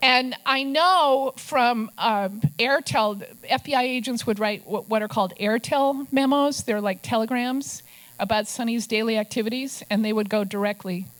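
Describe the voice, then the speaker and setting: With an Upper Midwest accent, a woman speaks at a fairly high pitch and moderate pace with ordinary pitch variation, in a very clean recording with a silent background. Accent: Upper Midwest American. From Minnesota. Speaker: investigative journalist and author. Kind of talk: talk to a club audience with slides.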